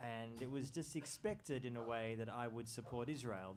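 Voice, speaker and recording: Speaking at a moderate pace with an Australian accent, a man keeps a medium pitch and fairly even intonation amid audible room echo. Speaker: journalist and author. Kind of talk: book talk.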